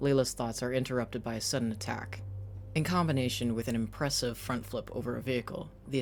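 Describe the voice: Someone is doing plain reading aloud, the pitch varying in an ordinary way.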